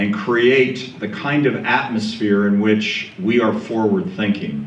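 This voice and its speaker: A loud man's voice swings very widely in pitch at a fairly slow pace, with audible room echo. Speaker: panel moderator. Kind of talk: speech to a live audience.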